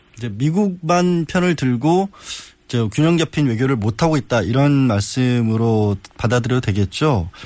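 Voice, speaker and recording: Lively intonation marks this man's medium-pitched speech. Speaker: substitute radio host, lawyer. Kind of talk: news interview. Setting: studio. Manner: halting.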